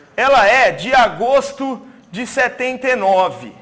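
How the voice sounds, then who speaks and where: Against noticeable background noise, a man with an extremely high pitch sounds animated, his intonation lively. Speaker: teacher. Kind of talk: exam review lecture to live class. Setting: classroom with audience, also streamed.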